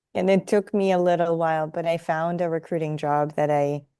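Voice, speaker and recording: A woman with a Russian accent has a very deep, low pitch and a dark, mellow tone. She keeps a moderate pace and fairly even intonation. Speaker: career coach, former recruiter. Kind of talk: interview conversation.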